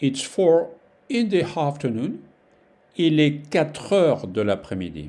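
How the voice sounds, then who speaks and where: A man with a French accent and a dark, mellow tone speaks at a fairly slow pace with long, frequent pauses. His fairly high pitch moves in very wide swings. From France. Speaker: French teacher. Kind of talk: language lesson tutorial. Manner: slow, repeating phrases for learners; halting, with many fillers.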